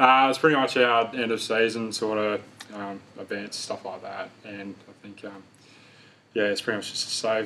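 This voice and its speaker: With an Australian accent, a man talks at a moderate pace and medium pitch, his loudness swinging widely. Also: fairly even intonation. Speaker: football player. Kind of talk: interview answer. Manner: monotone; quiet, laid back.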